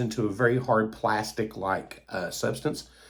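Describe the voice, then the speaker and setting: A man with an Appalachian accent. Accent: Appalachian Kentucky. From US South, Eastern Kentucky. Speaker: toy collector YouTuber. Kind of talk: casual monologue. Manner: hesitant, many fillers.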